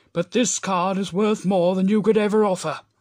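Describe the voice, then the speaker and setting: This is a cartoonish character voice. Its pitch sits in the middle range. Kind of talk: cartoon character voice impressions. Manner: warm, proud.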